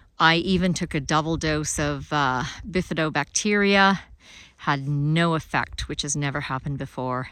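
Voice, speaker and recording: With a Canadian accent, a woman speaks at a very deep, low pitch. The recording is very clean, with a silent background. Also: ordinary pitch variation, moderate pace. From Alberta, Canada. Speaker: podcast host, author and farmer. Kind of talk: solo monologue, recorded video.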